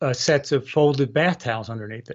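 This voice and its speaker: In a normal speaking voice, the man moves fairly quickly, his pitch varying in an ordinary way. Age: 60s. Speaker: product founder and balance trainer. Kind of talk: podcast interview.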